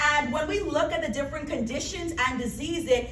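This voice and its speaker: In a Bahamian accent, a woman speaks at a high pitch with an animated tone. Audible room echo and noticeable background noise are present. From Bahamas. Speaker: pharmacist, health presenter. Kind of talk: health seminar presentation.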